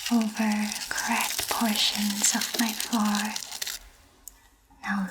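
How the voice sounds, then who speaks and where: A woman speaks at a fairly high pitch in a flat monotone, with long, frequent pauses and noticeable background noise. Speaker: ASMR artist and virtual festival guide. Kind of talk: ASMR reading of literary text.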